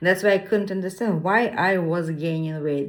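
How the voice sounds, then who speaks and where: Here a woman is speaking. Her voice sits fairly low. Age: 60s. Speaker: fasting vlogger. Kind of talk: personal testimony. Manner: halting.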